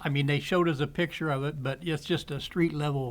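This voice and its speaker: Somewhat breathy and pitched fairly high, a man speaks with an American accent at a moderate pace. His intonation is fairly even, and the recording is very clean with a silent background. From southwestern Illinois, Wood River area. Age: 60s. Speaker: podcast guest. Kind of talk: casual chat. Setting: cigar shop.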